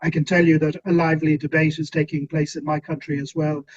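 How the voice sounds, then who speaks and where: With an Irish accent, a fairly high-pitched man talks at a fairly quick pace. The sound is dry and close, with no echo. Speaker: policy expert, webinar panelist. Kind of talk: panel discussion. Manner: hesitant, many fillers.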